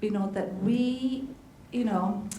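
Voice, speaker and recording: A woman's medium-pitched voice with ordinary pitch variation, amid audible room echo and noticeable background noise. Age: 60s. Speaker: health practitioner on forum panel. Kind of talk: panel discussion. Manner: halting, repetitive.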